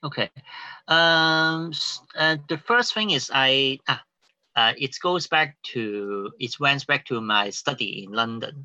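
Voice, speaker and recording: A man's fairly high, bright and sharp voice with a Cantonese accent and lively intonation, at a very slow pace, in a dry, close sound with no echo over a quiet background. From Hong Kong. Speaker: playwright. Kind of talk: interview. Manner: halting.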